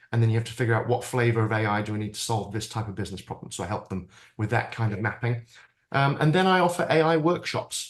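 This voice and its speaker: A man speaks very fast with a British accent. His pitch sits in the medium range. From Britain. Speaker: AI futurist and keynote speaker. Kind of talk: interview conversation.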